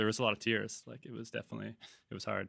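A man with a Canadian accent speaks with vocal fry. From Vancouver, Canada. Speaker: brand cofounder and marketer. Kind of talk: casual interview conversation. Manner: casual, filler-heavy.

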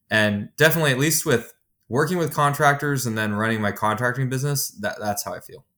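A man talks at a very fast pace with lively intonation, his medium pitch carrying a bright, sharp tone. The recording is very clean, with a silent background. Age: 30s. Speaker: software executive and contractor business owner. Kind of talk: casual interview.

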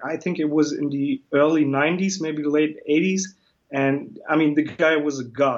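Speaking at a fairly slow pace, a man uses a fairly high pitch and a monotone, flat intonation. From Germany. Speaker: comic book illustrator. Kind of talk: interview.

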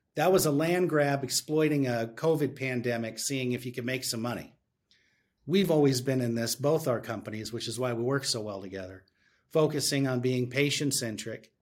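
A man speaks at medium pitch and a moderate pace. He has an unremarkable speaking voice. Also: ordinary pitch variation. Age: 50s. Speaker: tech company executive. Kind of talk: interview.

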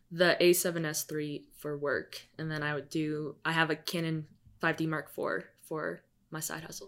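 A woman with an American accent and a very deep, low pitch, at a moderate pace, with monotone, flat intonation and big swings in loudness. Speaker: filmmaker. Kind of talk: casual interview.

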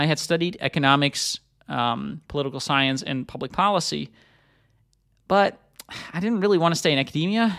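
A man with a fairly high voice and ordinary pitch variation speaks with long, frequent pauses on a very clean recording with a silent background. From Netherlands. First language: Dutch. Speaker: podcast host. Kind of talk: solo monologue, personal story. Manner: casual with many fillers and repetitions.

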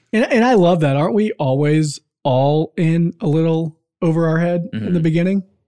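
The tone is dark and mellow, with ordinary pitch variation. The delivery comes at a fairly quick pace. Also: man, high pitch for a man. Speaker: podcast co-host. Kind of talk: casual interview.

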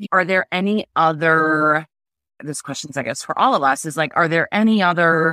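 A woman speaks with an American accent at a very deep, low pitch, with ordinary pitch variation and a moderate pace. Her tone is bright and sharp, and the sound is dry and close with no echo on a very clean recording with a silent background. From New York City area. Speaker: podcast co-host. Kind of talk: casual chat.

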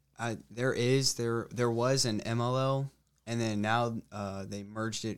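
In an unremarkable speaking voice, the speaker goes at a fairly slow pace with fairly even intonation, on a very clean recording with a silent background. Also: man. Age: young. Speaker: college lacrosse player. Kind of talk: casual interview.

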